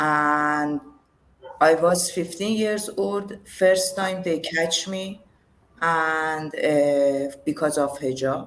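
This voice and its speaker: Speaking at a very slow pace, a woman with a Persian accent uses a fairly low pitch. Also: ordinary pitch variation. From Iran, Tehran. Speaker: yoga teacher. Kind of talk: interview, personal testimony. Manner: halting. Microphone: too quiet.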